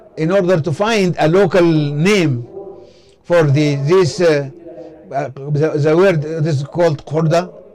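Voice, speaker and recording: Against noticeable background noise, a man speaks very slowly at a fairly high pitch with fairly even intonation. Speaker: simultaneous interpreter. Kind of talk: interpreted lecture. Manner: halting, many fillers.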